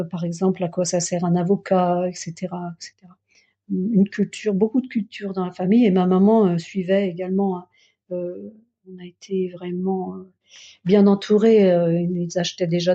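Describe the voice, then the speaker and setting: A woman speaks at a moderate pace and medium pitch, somewhat breathy and monotone. Her loudness swings widely. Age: 60s. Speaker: Buddhist practitioner. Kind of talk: testimony. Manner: halting.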